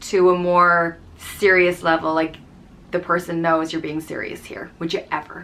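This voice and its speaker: A woman with an Irish accent speaks in a fairly low pitch and a bright, sharp tone. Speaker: YouTuber explaining slang. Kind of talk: casual tutorial. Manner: conversational, with fillers.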